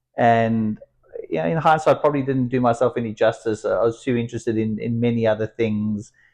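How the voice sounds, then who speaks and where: A man with a South African accent, medium pitch and a dark, mellow tone, at a fairly quick pace against a quiet background. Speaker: entrepreneur and company founder. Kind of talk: interview.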